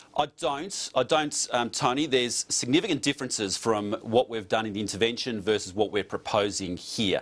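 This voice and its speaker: A man with an Australian accent and a medium pitch speaks at a fairly quick pace, with ordinary pitch variation and hardly any pauses. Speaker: politician. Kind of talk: TV news interview. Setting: remote studio link.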